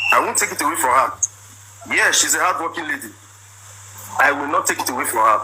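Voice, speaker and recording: Over noticeable background noise, a man talks at a very fast pace, broken by long, frequent pauses. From Nigeria (Igbo). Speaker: businessman telling his side of a marriage dispute. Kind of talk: personal testimony. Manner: animated.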